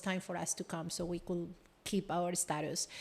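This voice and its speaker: At a moderate pace, a woman speaks in a flat monotone at medium pitch. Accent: Spanish. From Colombia. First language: Spanish. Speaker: business executive and coach. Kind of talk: casual chat.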